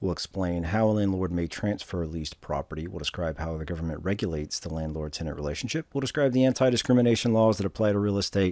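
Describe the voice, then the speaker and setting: A man talks at a very fast pace with hardly any pauses. His very deep, low pitch carries a dark, mellow tone and lively intonation. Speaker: instructor. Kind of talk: lecture.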